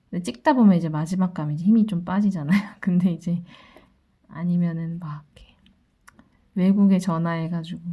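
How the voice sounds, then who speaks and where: A woman with a fairly low, somewhat breathy voice and a dark, mellow tone talks at a fairly quick pace, with fairly even intonation, long and frequent pauses, and big swings in loudness. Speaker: tarot reader. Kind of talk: daily fortune reading.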